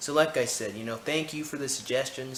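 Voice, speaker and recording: A man speaks at a fairly quick pace with ordinary pitch variation. There is audible room echo and noticeable background noise. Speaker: YouTuber. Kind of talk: casual vlog chat. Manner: casual, filler-heavy.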